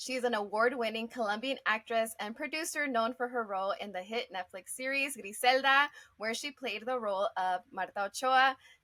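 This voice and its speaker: In a plain, everyday voice, a woman talks at a moderate pace and fairly high pitch with ordinary pitch variation. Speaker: interviewer. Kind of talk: interview questions.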